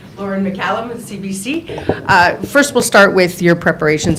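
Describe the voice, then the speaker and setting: A woman at a fairly quick pace with ordinary pitch variation, audible room echo and noticeable background noise. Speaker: journalist. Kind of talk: press conference questions. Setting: press conference.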